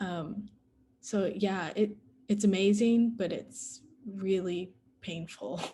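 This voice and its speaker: Speaking with an American accent at a very slow pace, a woman with a medium pitch and a somewhat breathy voice uses ordinary pitch variation and takes long, frequent pauses. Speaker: adoptee panelist. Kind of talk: panel Q&A discussion.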